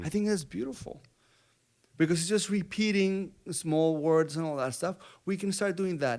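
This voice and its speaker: The recording is very clean, with a silent background. A man speaks in a Colombian accent. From Bogotá, Colombia. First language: Spanish. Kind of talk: interview answer.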